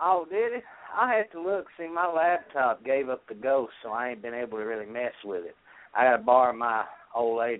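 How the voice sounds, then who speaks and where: A man's normal speaking voice at medium pitch, with lively intonation, a fairly quick pace and big swings in loudness. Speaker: co-host, conjure practitioner. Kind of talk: casual chat. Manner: profane, blunt.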